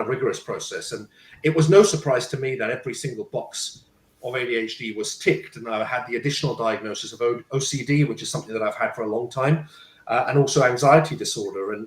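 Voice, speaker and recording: A man with a medium pitch talks at a fairly quick pace, sounding somewhat breathy. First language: Punjabi. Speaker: parenting coach and speaker. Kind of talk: panel talk, personal story. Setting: live stream. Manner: halting, with repetitions.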